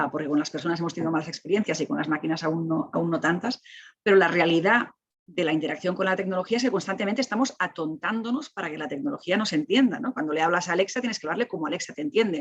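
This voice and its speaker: A woman talks very fast at a fairly low pitch. Her intonation is lively. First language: Catalan (speaking Spanish). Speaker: technology ethics expert. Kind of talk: panel discussion. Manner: animated; halting.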